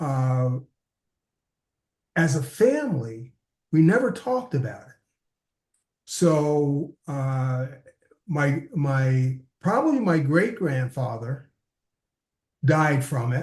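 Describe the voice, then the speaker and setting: A man talks at a very slow pace in a fairly high pitch, his voice somewhat breathy with ordinary pitch variation. Long, frequent pauses break up his speech, and his loudness swings widely. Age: 70s. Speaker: interview guest living with diabetes. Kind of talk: interview, personal testimony. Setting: remote from his office. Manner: halting, many fillers.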